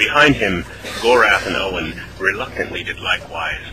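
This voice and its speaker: A man speaks at a moderate pace. Behind him, music plays. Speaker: voice actor. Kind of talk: radio play narration.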